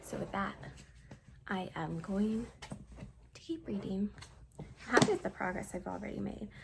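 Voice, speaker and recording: Speech comes at a moderate pace. Noticeable background noise is present. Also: woman. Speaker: book vlogger. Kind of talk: casual vlog narration. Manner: upbeat, chatty.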